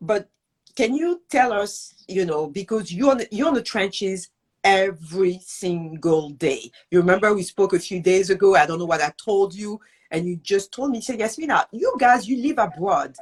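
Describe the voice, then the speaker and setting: A woman speaks at a moderate pace, her voice at a medium pitch and somewhat breathy. Her intonation is lively. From France. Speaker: show host, entrepreneur. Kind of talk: interview. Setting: live online video interview.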